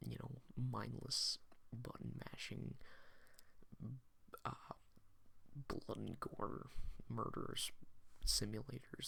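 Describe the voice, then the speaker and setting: Whispering at a very slow pace, the speaker draws out each word. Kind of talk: soft-spoken ASMR video game collection talk. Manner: soft-spoken.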